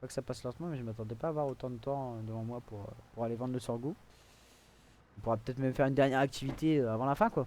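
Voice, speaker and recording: Talking very fast with long, frequent pauses, a man keeps fairly even intonation at a medium pitch, with big swings in loudness. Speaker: gaming video creator. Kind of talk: gameplay commentary. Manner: soft-spoken; hesitant, many fillers.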